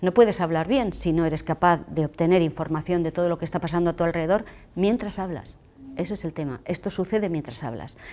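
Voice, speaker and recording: A woman with a dark, mellow tone and fairly low pitch talks at a very fast pace with ordinary pitch variation, in a very clean recording with a silent background. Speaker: public speaking trainer. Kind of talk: lecture.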